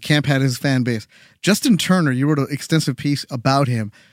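An unremarkable speaking voice from a man, fairly high in pitch, with ordinary pitch variation at a fairly quick pace. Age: 40s. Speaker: sports podcast host. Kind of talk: casual chat; scripted narration.

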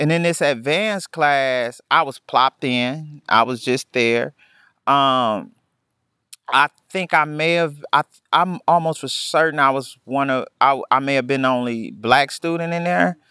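A man with an American accent speaks at a fairly slow pace in a fairly high pitch, with ordinary pitch variation and a bright, sharp tone. The very clean recording has a silent background and a dry, close sound with no echo. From Milwaukee, Wisconsin. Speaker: education consultant, formerly incarcerated. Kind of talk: interview. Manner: halting, frequent repetitions and fillers.

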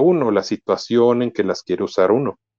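Using a plain, everyday voice, a man speaks at a medium pitch and moderate pace with lively intonation. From Mexico. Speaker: podcaster and computer engineer. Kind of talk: casual tutorial interview.

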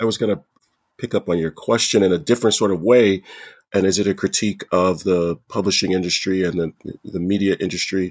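An American accent with fairly even intonation, dry and close with no echo, on a very clean recording with a silent background. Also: man, very deep, low pitch for a man, fairly quick pace. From United States. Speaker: professor. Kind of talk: panel discussion.

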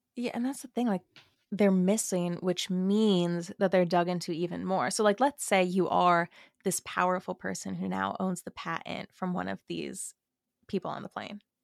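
A woman with an unremarkable speaking voice talks at medium pitch with fairly even intonation, in a dry, close sound with no echo. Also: moderate pace. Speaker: podcaster and gossip creator. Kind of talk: casual podcast chat. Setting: remote recording, online call. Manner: casual, self-deprecating, chatty.

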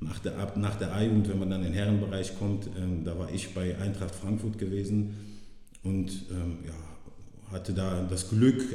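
Over noticeable background noise and audible room echo, a man with a very deep, low pitch talks at a fairly slow pace with fairly even intonation. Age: 30s. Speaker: former professional footballer. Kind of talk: casual interview.

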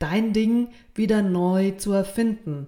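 The woman's voice carries a dark, mellow tone. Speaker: podcast host. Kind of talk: solo podcast monologue. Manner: slow.

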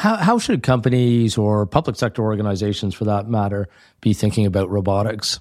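A man speaks at a fairly quick pace with fairly low pitch and fairly even intonation, in an ordinary speaking voice. The recording is very clean, with a silent background. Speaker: podcast host. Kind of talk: scripted intro then interview.

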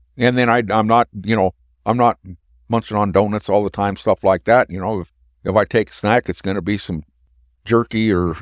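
This man has a fairly low pitch and fairly even intonation at a moderate pace. The sound is dry and close with no echo, over a quiet background. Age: 60s. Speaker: cattle behaviorist. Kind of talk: casual chat. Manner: halting.

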